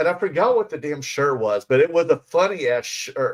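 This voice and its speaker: Moving at a fairly quick pace, a man speaks with lively intonation and a fairly high pitch. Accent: Southern US. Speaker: podcast co-host. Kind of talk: casual chat. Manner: halting, many fillers.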